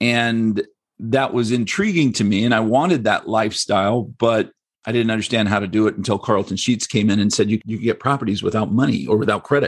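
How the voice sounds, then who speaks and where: A man with an American accent uses a normal speaking voice at medium pitch, fairly quick, with ordinary pitch variation. The recording is very clean with a silent background. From United States. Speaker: real estate investor. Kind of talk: casual interview.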